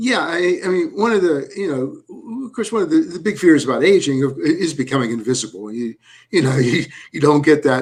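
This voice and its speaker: Man at a moderate pace, high in pitch, with very wide pitch swings. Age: 70s. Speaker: documentary filmmaker. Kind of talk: panel discussion. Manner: halting, many repetitions.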